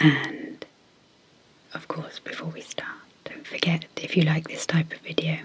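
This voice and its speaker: Someone soft-spoken talks at a moderate pace against noticeable background noise. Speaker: clinical psychologist and ASMR hypnosis creator. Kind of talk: guided hypnosis intro.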